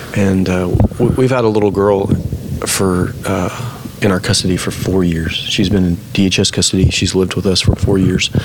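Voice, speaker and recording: Over noticeable background noise, a man with a very deep, low voice speaks at a moderate pace with fairly even intonation and hardly any pauses. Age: 40s. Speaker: sports ministry director. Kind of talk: casual interview, faith testimony.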